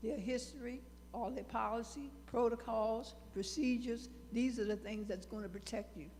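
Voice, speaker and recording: A woman speaks at a moderate pace in a fairly high, monotone, flat voice, with audible room echo and noticeable background noise. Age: 80s+. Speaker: audience member. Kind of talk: public comment.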